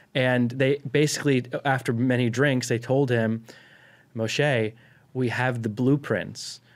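A man speaks very slowly at a medium pitch in a monotone, flat delivery, on a very clean recording with a silent background. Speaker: cousin, co-host. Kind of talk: casual comedic chat. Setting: studio.

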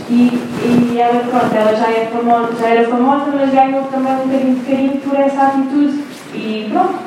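Her voice is high-pitched and her intonation fairly even, at a moderate pace. The woman is heard with audible room echo and noticeable background noise. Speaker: university student in the audience. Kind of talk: live podcast discussion. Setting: live recording before an audience at a university. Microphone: poor recording quality.

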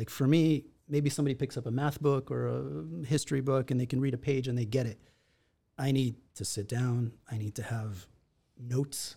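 A man's dark, mellow, somewhat breathy voice at medium pitch, with ordinary pitch variation and a moderate pace. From Israel. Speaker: attorney. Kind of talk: casual interview.

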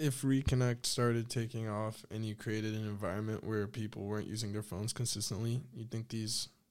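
In a normal speaking voice, a man with an American accent talks at a fairly quick pace, his fairly low pitch following fairly even intonation. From northern US. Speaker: skate videographer and content creator. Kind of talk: casual chat. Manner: casual, filler-heavy.

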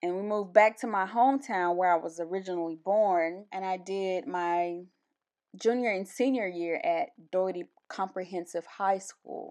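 Pitch varies in an ordinary way at a moderate pace. Behind the voice, things are quiet. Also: woman, medium pitch for a woman. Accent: American. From US South (Albany, Georgia). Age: 30s. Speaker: podcast host, soldier. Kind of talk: casual monologue. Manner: animated.

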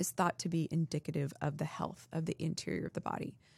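A woman with a General American accent speaks in a very deep, low register with vocal fry, on a very clean recording with a silent background and a dry, close sound free of echo. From Arizona. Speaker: acupuncturist. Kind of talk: interview.

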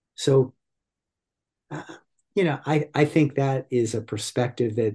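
A man with an American accent talks at a moderate pace in a dark, mellow, somewhat breathy tone with ordinary pitch variation. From US, small town. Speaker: yoga teacher and social justice activist. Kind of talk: interview.

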